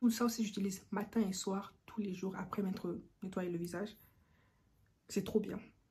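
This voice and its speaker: A woman at a medium pitch speaks with a dark, mellow tone, somewhat breathy, in a monotone, flat intonation. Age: 20s. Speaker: beauty YouTuber. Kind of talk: casual talk to camera.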